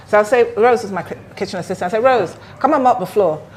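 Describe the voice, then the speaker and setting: A woman's very fast speech with ordinary pitch variation over noticeable background noise. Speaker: restaurant owner. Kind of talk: casual interview chat.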